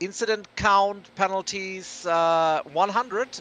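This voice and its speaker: A man's bright, sharp tone at a fairly slow pace, in a dry, close sound with no echo. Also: quiet background. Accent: non-native. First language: German. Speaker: sim racing commentator. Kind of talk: live commentary. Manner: hesitant, many fillers and restarts.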